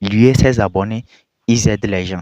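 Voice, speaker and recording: In a non-native accent, a man speaks at a moderate pace with fairly low pitch and fairly even intonation, the sound dry and close with no echo. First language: not French (speaking French). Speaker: video commentator. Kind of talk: reaction commentary.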